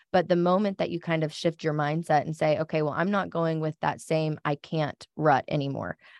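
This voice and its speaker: A woman's very deep, low voice, monotone and flat, at a fairly quick pace with hardly any pauses, dry and close with no echo against a quiet background. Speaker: marketing coordinator and podcast co-host. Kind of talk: casual chat.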